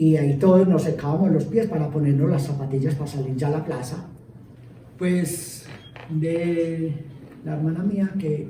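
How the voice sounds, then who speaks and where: The voice moves at a moderate pace, with noticeable background noise and audible room echo. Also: man. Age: 60s. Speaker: local councillor. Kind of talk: interview testimony. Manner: halting, many fillers.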